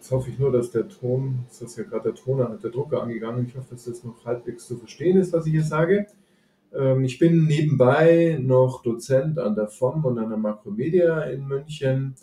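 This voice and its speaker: A man with a medium pitch and a dark, mellow tone speaks at a moderate pace, somewhat breathy, with ordinary pitch variation and big swings in loudness. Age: 50s. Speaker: financial analyst. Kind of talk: casual interview.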